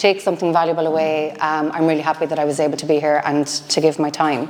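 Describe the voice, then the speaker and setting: A woman with a fairly low voice speaks in an Irish accent, with noticeable background noise behind her. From Ireland. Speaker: business founder and CEO. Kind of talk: motivational talk. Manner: loud.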